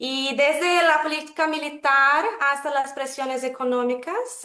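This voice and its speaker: With a Brazilian accent, a woman speaks in a high, bright, sharp voice with ordinary pitch variation. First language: Portuguese (speaking Spanish). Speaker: webinar moderator. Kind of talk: formal webinar moderation. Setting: video call.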